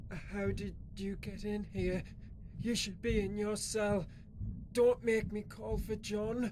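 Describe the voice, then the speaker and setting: The speaker uses a put-on character voice at a fairly slow pace. Loud background noise runs behind it. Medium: audio drama. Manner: scared, defensive.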